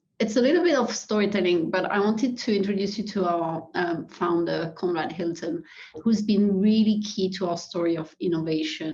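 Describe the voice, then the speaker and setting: A woman with a French accent speaks at a moderate pace and medium pitch, somewhat breathy, with ordinary pitch variation and hardly any pauses. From France. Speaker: hospitality executive. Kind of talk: webinar presentation. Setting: webinar.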